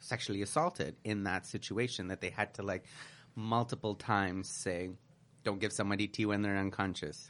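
Against a quiet background, a man in a plain, everyday voice talks at a moderate pace with ordinary pitch variation. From Canada. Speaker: community radio co-host. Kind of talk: casual chat. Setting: radio studio.

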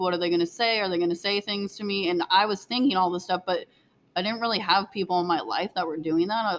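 Her pitch sits at a medium level with ordinary variation, a woman with a normal speaking voice. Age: 30s. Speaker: barista aspiring to open a coffee shop. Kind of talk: casual interview. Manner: casual, frequent fillers like 'like' and 'um'.

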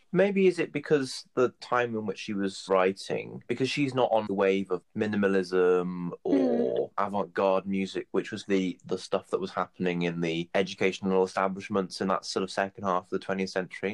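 In a dry, close sound with no echo, a man uses an ordinary speaking voice at a fairly low pitch, keeping a moderate pace with hardly any pauses. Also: ordinary pitch variation. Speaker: podcast co-host. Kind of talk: casual chat. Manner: jokey, laughing.

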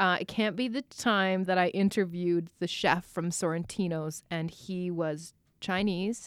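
A woman with a Western Canadian accent speaks fairly slowly with fairly even intonation and hardly any pauses. The recording is very clean, with a silent background. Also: medium pitch for a woman. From Alberta, Canada (Spruce Grove near Edmonton). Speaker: guest, mother. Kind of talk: casual chat. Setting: basement studio.

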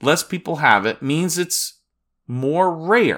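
A man with an American accent speaks at a very slow pace with lively intonation. The recording is very clean, with a silent background. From Florida. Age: 40s. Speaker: podcast host. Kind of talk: solo news podcast.

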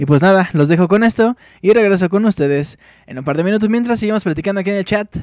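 Speaking very fast at a high pitch with ordinary pitch variation, a man is heard on a very clean recording with a silent background. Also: dry, close sound with no echo. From Mexico, Chihuahua. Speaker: radio host. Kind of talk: live music show chat. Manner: animated.

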